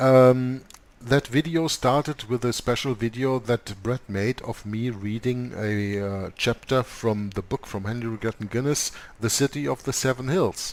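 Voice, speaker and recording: A man at a medium pitch, ordinary pitch variation, and a fairly slow pace. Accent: non-native. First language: not English. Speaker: co-host of a religious discussion show. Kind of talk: conversational discussion. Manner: halting, many fillers.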